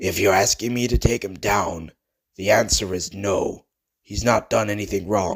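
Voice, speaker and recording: A man's raspy put-on character voice, fairly low in pitch, at a moderate pace with fairly even intonation. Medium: read story. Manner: earnest, polite.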